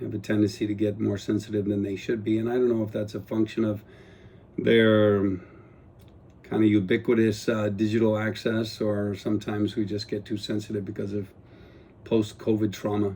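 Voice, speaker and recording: Speaking fairly quickly in a Guam accent, a man has a fairly low voice with a dark, mellow tone and flat, monotone intonation. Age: 60s. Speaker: retired police officer and politician turned vlogger. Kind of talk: casual personal vlog monologue. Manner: unscripted, hesitant with fillers.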